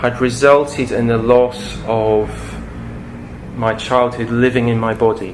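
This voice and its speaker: A man's flat, monotone delivery at a fairly slow pace, broken by long, frequent pauses, with audible room echo and noticeable background noise. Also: medium pitch for a man. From Scotland. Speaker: speaker on imagination and psychology. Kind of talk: public talk. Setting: talk to an audience.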